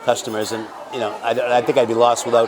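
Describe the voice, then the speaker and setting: A very fast man's voice at medium pitch, amid noticeable background noise. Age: 70s. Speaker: family business owner. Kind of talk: interview.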